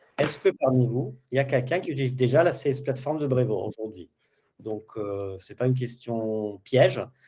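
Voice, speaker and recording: There are big swings in loudness as a man speaks in a dark, mellow tone that is somewhat breathy. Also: medium pitch for a man, ordinary pitch variation, moderate pace. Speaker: customer training specialist, webinar host. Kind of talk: webinar tutorial.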